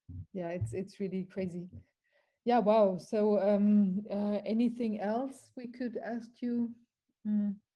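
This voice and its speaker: A woman with a German accent speaks at a very slow pace, somewhat breathy, in a medium pitch. Her tone is dark and mellow, with fairly even intonation. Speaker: interviewer. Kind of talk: interview.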